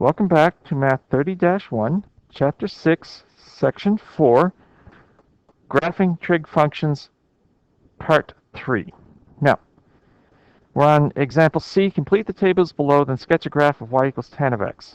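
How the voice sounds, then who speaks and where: Long, frequent pauses from a man with a fairly high voice, at a fairly slow pace with lively intonation, in a dry, close sound with no echo. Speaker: math teacher. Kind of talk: lecture.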